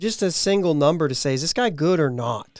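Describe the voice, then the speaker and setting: This speaker has a Pittsburgh accent and lively intonation at a moderate pace. The recording is very clean, with a silent background. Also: man. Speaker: podcast host. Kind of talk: casual podcast talk.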